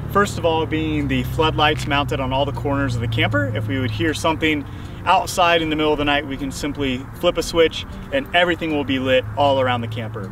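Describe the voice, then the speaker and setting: The pace is fairly quick as a man speaks. Background noise is noticeable. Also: ordinary pitch variation, dry sound with no echo. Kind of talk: tour walkthrough. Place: street.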